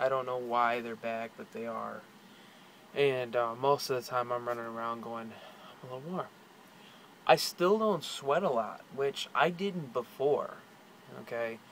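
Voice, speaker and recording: Pausing long and often, a man of medium pitch speaks at a fairly slow pace, with ordinary pitch variation and big swings in loudness. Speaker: video blogger. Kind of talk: personal vlog. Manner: casual, hesitant with fillers.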